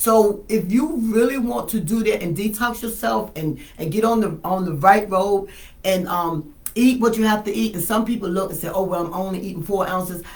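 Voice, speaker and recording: This woman talks at a fairly quick pace in a somewhat breathy voice. The room echo is audible. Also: medium pitch for a woman, ordinary pitch variation. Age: 60s. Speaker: wellness patient sharing her story. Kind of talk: testimony.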